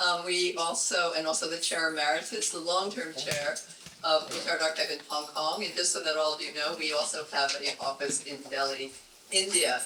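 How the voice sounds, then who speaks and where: A man with a fairly high pitch speaks at a moderate pace with fairly even intonation, amid audible room echo and noticeable background noise. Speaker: arts archive chair. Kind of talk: event welcome speech. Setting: event room with audience. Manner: halting.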